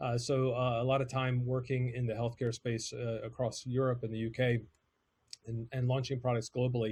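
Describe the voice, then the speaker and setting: In an American accent, a man talks at a moderate pace with a medium pitch. His delivery is somewhat breathy, with monotone, flat intonation. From United States. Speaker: podcast agency CEO. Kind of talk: presentation. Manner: hesitant, many fillers.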